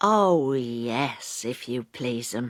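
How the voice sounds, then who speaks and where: In a very clean recording with a silent background, a woman puts on a character voice with a very deep, low pitch. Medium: read story. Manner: timid, polite.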